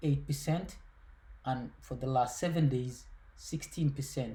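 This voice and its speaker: Speaking at a fairly slow pace in a Somali accent, a man has a fairly high pitch, a dark, mellow tone, a somewhat breathy quality and ordinary pitch variation. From Somalia. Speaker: finance YouTuber. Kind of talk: casual explainer video. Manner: halting, with many fillers and repetitions.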